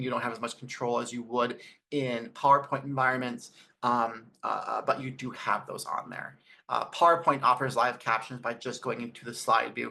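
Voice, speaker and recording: At a fairly quick pace, a man talks in a bright, sharp tone with vocal fry, his intonation monotone and flat but his loudness swinging widely. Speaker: educational technology presenter. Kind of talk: webinar presentation. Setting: video call. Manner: varying speed; mumbles at times.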